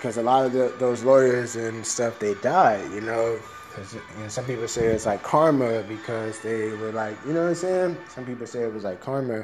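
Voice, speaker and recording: A man speaks with an American accent, barely pausing, his loudness swinging widely. His pitch varies in an ordinary way, with music playing behind him. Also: medium pitch for a man, moderate pace. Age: 30s. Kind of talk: stand-up style comedic rant, solo monologue. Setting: solo home recording. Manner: rambling, improvised, profane, casual, conversational; animated, tongue-in-cheek, provocative.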